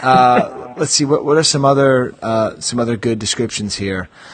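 At a moderate pace, a man talks with a medium pitch and ordinary pitch variation.

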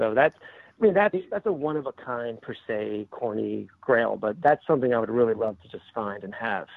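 A man in a plain, everyday voice, at a medium pitch and a fairly quick pace. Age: 40s. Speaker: toy collector and social media contributor. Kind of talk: interview.

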